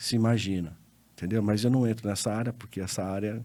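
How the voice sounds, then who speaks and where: This man has a medium pitch and a dark, mellow tone. His intonation stays fairly even. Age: 60s. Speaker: lawyer and accountant. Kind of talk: interview podcast conversation.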